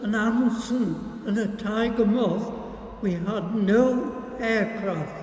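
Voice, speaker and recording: A man speaks very slowly in a high, flat monotone over noticeable background noise. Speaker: war veteran. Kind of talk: interview answer.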